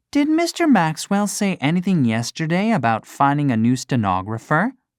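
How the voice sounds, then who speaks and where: This put-on character voice sits at a middle pitch, recorded very cleanly against a silent background. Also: moderate pace. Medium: read story. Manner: soft, polite.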